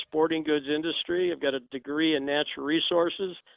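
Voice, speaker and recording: Fairly high in pitch, a man speaks with a US Midwestern accent and fairly even intonation. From Indiana, US Midwest. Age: 60s. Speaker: shotgun instructor and gunfitter. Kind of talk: interview. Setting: phone call.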